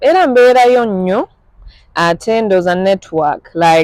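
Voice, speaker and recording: The sound is dry and close, without any echo. A woman talks at a fairly slow pace. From Germany, Ugandan family. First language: German. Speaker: musician. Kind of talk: interview. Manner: code-switching Luganda and English.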